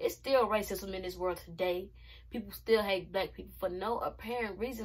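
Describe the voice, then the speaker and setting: With fairly even intonation, a woman talks at a fairly quick pace. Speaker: reaction vlogger. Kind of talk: casual vlog commentary. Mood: passionate, frustrated. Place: home room. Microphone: phone near.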